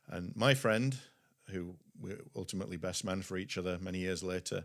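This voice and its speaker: On a very clean recording with a silent background, a man with a Yorkshire accent speaks at a very deep, low pitch with ordinary pitch variation. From West Yorkshire, England. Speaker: pastor and publishing CEO. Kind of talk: podcast interview, testimony.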